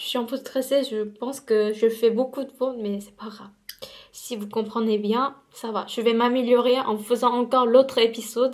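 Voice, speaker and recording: A woman with a high pitch speaks at a moderate pace in a monotone, flat intonation, with big swings in loudness. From South Korea. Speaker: beauty vlogger. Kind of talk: casual vlog storytime while doing makeup. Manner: halting, many hesitations and repetitions.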